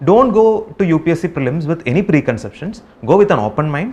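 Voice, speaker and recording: With a Keralan accent, a man talks at a fairly quick pace in a high pitch with very wide pitch swings. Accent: Indian English, Malayali. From Kerala, India. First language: Malayalam. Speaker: civil service exam topper. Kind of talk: advice talk to exam candidates. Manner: hesitant, many fillers.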